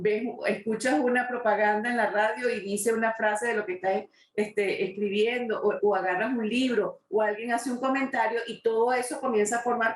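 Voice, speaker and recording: Speaking at a moderate pace, a woman has a plain, everyday voice at a fairly high pitch. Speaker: interviewer, talk show host. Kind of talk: interview question.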